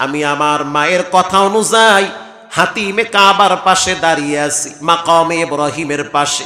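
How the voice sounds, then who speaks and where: A man with a high pitch and ordinary pitch variation speaks amid noticeable background noise and audible room echo. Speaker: Islamic preacher. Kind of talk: sermon; fundraising appeal.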